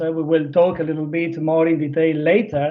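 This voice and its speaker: A man with an Italian accent. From Italy. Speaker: business development manager. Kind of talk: presentation. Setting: virtual stage. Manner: halting, many fillers.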